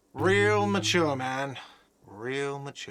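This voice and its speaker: A man's whiny, put-on character voice at a medium pitch. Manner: shouting, complaining.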